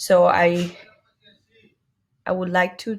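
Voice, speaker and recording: A woman speaks at a very slow pace in a medium pitch. Her voice is somewhat breathy. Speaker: student. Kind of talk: class presentation. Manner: halting.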